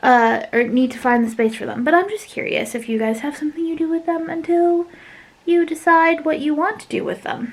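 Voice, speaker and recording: A woman is speaking. Her intonation is lively. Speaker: craft YouTuber. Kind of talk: casual vlog chat. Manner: fast; hesitant, many fillers.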